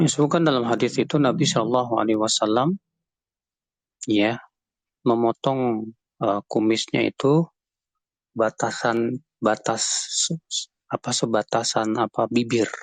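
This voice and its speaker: Fairly slow, with long, frequent pauses, a man speaks at medium pitch with ordinary pitch variation and very even loudness, in a dry, close sound with no echo. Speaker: Islamic cleric, teacher. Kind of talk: religious Q&A.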